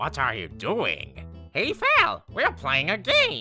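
In a put-on character voice, someone speaks at a very slow pace over faint background music. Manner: upbeat.

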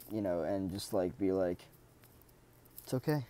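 A dark, mellow tone at a fairly slow pace, with ordinary pitch variation and a dry sound with no echo. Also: man. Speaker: self-development video creator. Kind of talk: solo monologue talk. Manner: halting, many fillers. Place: home room. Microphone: earbuds.

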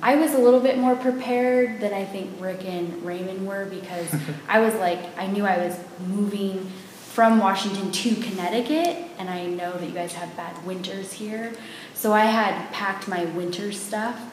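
Moderate pace, ordinary pitch variation and big swings in loudness, with audible room echo and light background noise. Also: woman. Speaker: interview guest. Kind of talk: interview answer. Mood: cheerful storytelling. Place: home room. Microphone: camera far.

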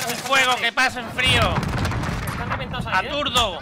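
A man speaks at an extremely high pitch. Loud background noise is present. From Spain. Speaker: gaming streamer. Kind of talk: live gameplay commentary. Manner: animated. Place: home room.

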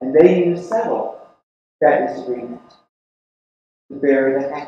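In a strong room echo with light background noise, a man with a fairly high pitch speaks at a moderate pace with lively intonation. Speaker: preacher. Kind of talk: sermon delivered to a congregation. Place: church.

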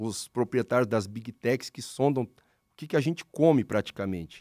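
Against a quiet background, a man speaks in a dark, mellow tone with dry sound and no echo. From Paraná, Brazil (Londrina); Paraná, Brazil. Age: 40s. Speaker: pastor. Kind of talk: casual religious discussion; interview answer. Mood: calm, explanatory. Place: studio. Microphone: studio mic.

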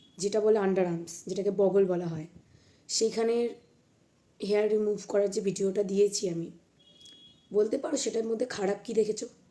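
Through noticeable background noise, a woman speaks at a medium pitch with fairly even intonation. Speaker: YouTuber. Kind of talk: angry vlog rant.

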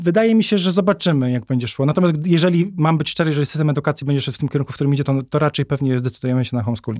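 A man with a fairly high pitch and ordinary pitch variation talks at a very fast pace with hardly any pauses. The sound is dry and close, with no echo. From north-eastern Poland (Warmia-Masuria). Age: 30s. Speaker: author. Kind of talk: casual interview.

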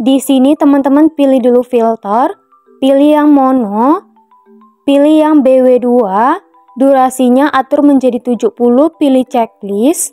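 In a Minangkabau accent, the speaker goes at a fairly slow pace with ordinary pitch variation and very even loudness, in a dry, close sound with no echo and music in the background. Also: woman, high pitch for a woman. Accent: Minang. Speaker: voice-over narrator. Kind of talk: app tutorial voice-over. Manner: casual, friendly.

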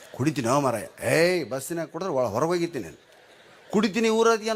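This man's voice is high and animated. His pitch swings very widely. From North Karnataka, Gangavathi. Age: 60s. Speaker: comedian. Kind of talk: stand-up. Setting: stage with audience.

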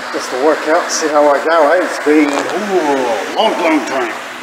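Loud background noise sits behind a man's voice. He talks at a moderate pace with ordinary pitch variation. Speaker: vlogger. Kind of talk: casual vlog chat. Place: gym. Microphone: phone near.

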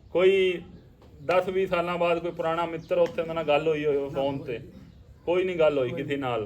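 With ordinary variation in pitch, a man talks in a high voice. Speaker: interviewer. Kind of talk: interview questions.

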